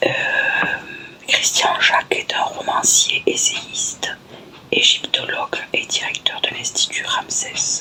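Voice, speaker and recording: A woman whispering very slowly, with long, frequent pauses and noticeable background noise. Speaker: ASMR creator. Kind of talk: casual talk to camera. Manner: whispered.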